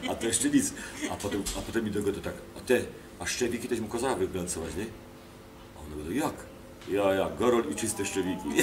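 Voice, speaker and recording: Speaking at a very fast pace yet with long, frequent pauses, a man with a fairly low pitch and ordinary pitch variation is heard over noticeable background noise and audible room echo. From Kielce region, Poland. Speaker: actor. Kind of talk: interview, anecdotes. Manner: animated storytelling with fillers.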